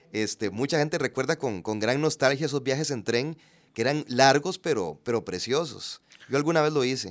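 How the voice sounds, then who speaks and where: Using an ordinary speaking voice, a man talks at a moderate pace with medium pitch and ordinary pitch variation. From Costa Rica, Puntarenas. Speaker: actor and TV personality. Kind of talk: casual interview chat.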